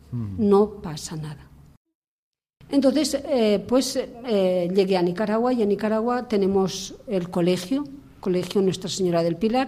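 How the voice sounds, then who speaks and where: At a fairly slow pace, a woman talks in a medium pitch with a dark, mellow tone and lively intonation. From Spain, Burgos. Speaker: missionary nun. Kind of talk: testimony. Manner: halting.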